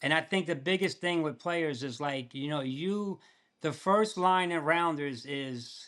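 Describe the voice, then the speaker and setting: An unremarkable speaking voice with ordinary pitch variation comes through on a very clean recording with a silent background. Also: man, fairly high pitch for a man, fairly slow pace. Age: 60s. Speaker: poker player. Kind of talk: casual chat. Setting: podcast interview.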